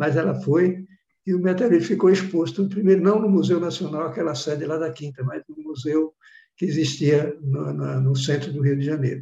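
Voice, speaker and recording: An ordinary speaking voice from a man, fairly high in pitch, moderate in pace, with ordinary pitch variation. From Bahia, Brazil (sertão). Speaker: professor, meteorite researcher. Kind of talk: interview, storytelling.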